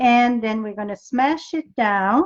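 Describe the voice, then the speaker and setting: A woman's fairly slow speech in a French accent, with ordinary pitch variation. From New Brunswick, Canada (French Canadian). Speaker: paper craft demonstrator. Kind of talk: live craft tutorial. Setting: live video stream. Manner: casual, chatty.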